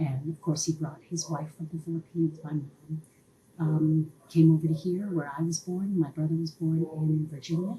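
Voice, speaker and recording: A woman with an American accent speaks at a very deep, low pitch in a dark, mellow tone. Her delivery is somewhat breathy, with monotone, flat intonation. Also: moderate pace. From Maryland, USA. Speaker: museum visitor. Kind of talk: testimony.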